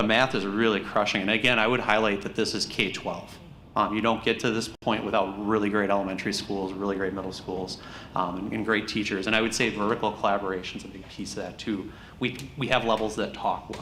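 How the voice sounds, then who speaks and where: A bright, sharp tone at a very fast pace, with an American accent and audible room echo. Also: man, fairly low pitch for a man. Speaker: school district administrator presenting test results. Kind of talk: board meeting presentation. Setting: school board meeting. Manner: animated.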